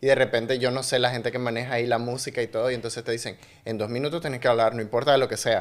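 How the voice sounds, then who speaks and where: This man talks with a Nicaraguan accent. His pace is very fast. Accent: Nicaraguan accent, kept on purpose. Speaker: podcast host and actor. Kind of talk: casual interview chat.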